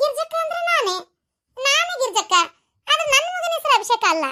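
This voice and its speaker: A woman does a cartoonish character voice, squeaky and extremely high in pitch. Her pitch swings very widely as she talks at a moderate pace. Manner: scolding, outraged, loud.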